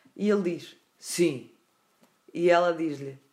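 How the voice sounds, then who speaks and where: This woman speaks in a European Portuguese accent. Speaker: podcast host. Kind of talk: storytelling.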